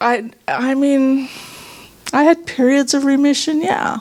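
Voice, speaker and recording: Noticeable background noise sits behind a woman speaking fairly slowly. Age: 60s. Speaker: workshop participant sharing healing story. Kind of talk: testimony.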